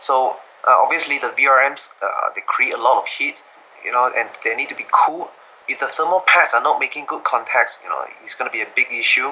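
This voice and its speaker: A man speaks with a non-native accent. His pace is fairly quick. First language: not English. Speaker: laptop hardware enthusiast. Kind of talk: technical interview. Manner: halting, many fillers and repetitions.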